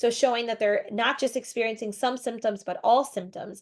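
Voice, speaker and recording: The background stays quiet. Intonation is fairly even throughout. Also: woman. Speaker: psychologist and professor presenting research. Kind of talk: lecture. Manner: fast.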